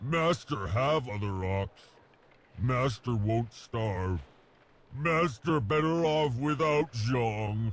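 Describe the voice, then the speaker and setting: At a very slow pace, a man uses a put-on character voice at a medium pitch. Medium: video game. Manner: broken simple speech, talks of himself by name.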